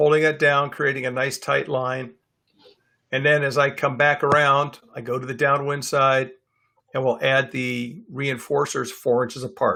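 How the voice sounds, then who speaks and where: A man talks at a moderate pace with a fairly high pitch. His tone is bright and sharp, and his intonation is monotone and flat. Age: 60s. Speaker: dog trainer. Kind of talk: lecture. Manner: casual, with filler words.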